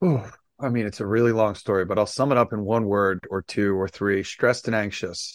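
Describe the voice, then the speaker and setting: An unremarkable speaking voice moves at a fairly quick pace with fairly even intonation. The recording is very clean, the background silent. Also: man, fairly low pitch for a man. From US, Las Vegas. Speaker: sound therapy entrepreneur. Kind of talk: interview.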